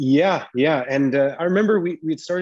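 Moderate pace and ordinary pitch variation from a man with a plain, everyday voice. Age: 30s. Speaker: parkour athlete. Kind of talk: casual chat.

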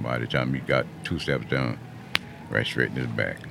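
Over noticeable background noise, a man talks at a very fast pace. He has a South Carolina Lowcountry accent and a very deep, low pitch. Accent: Southern US, Lowcountry South Carolina. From US South, Mount Pleasant, South Carolina. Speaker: public housing resident, former restaurant and drywall worker. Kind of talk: casual interview. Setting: radio studio.

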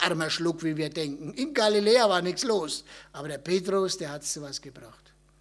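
A man with a Franconian accent speaks in an animated tone. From Upper Franconia, Germany. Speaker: missionary. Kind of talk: talk at a church event.

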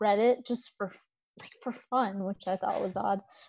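The speaker is a woman with an American accent. She keeps a moderate pace. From India, raised in US from age five. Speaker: ex-Evangelical social media creator. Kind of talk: casual interview chat.

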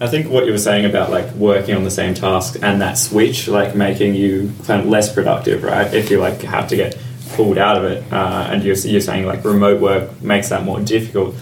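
Over noticeable background noise and audible room echo, a man talks at a fairly quick pace with hardly any pauses, in a fairly low voice with fairly even intonation. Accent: Australian. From Australia. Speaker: podcast co-host. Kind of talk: casual chat.

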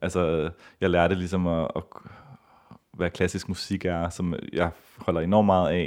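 With a very deep, low pitch, a man speaks at a fairly slow pace in a monotone, flat intonation, taking long, frequent pauses. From Copenhagen, Denmark. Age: 30s. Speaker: ballet dancer and festival organiser. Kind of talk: interview.

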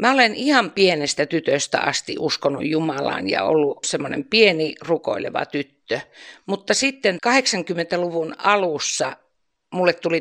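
Speaking at a fairly slow pace, a woman uses a normal speaking voice with a fairly low pitch. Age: 60s. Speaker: retired nurse, church volunteer. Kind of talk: interview.

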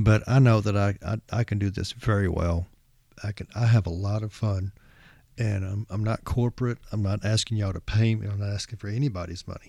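A man talks at a fairly quick pace in a fairly low, somewhat breathy voice with a dark, mellow tone and fairly even intonation, on a very clean recording with a silent background. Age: 50s. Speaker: rock music podcast host. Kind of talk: solo podcast monologue. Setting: home recording, no music. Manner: halting, many fillers.

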